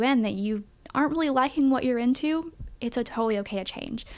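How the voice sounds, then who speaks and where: A woman with an East Tennessee accent talks at a very fast pace with ordinary pitch variation, on a very clean recording with a silent background. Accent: Southern US (East Tennessee). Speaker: college communications staff. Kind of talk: casual interview.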